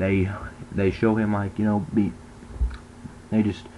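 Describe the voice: A man's fairly low pitch at a fairly slow pace, with little pitch movement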